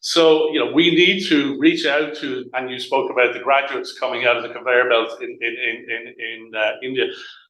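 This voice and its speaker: Speaking with an Irish accent, a man has a fairly high pitch and ordinary pitch variation. His loudness swings widely, and room echo is audible. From Ireland. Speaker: utility company representative. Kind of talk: panel presentation. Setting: hybrid event, live and online audience. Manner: fast; halting, repetitive.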